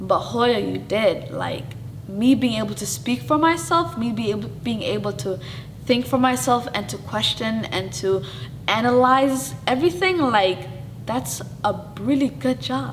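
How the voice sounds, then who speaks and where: Loud speech at a fairly slow pace swings very widely in pitch, with audible room echo and noticeable background noise. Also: woman, medium pitch for a woman. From Somali family, raised in US. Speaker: show host. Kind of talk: interview, casual personal talk. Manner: animated, says she talks loud; halting, self-correcting.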